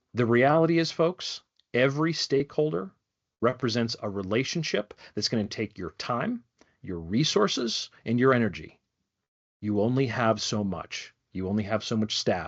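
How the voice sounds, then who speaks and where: A man talks at medium pitch with lively intonation. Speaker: wildlife program director giving a training. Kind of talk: online training presentation. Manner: fast.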